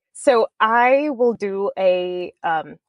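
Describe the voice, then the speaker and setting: In a South African accent, a woman speaks with an animated tone. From South Africa, Cape Town. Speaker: author. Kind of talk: interview.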